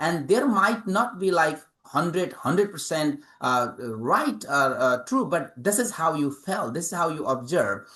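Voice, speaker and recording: Delivered with a Nepali accent at a fairly slow pace, the speech has very wide pitch swings and hardly any pauses. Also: man, high pitch for a man. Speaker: author and English professor. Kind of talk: interview. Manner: halting, many fillers.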